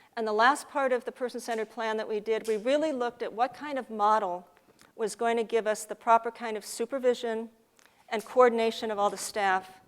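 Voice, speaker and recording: At a fairly quick pace, a woman talks in a normal speaking voice. Her pitch is fairly high, and her intonation stays fairly even. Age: 60s. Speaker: parent advocate presenter. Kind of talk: conference presentation.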